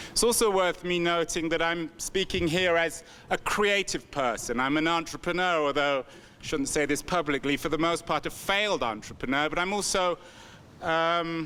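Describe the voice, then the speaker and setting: A bright, sharp tone with ordinary pitch variation. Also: man, high pitch for a man, moderate pace. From England. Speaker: author and entrepreneur. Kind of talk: keynote speech. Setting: conference stage with audience.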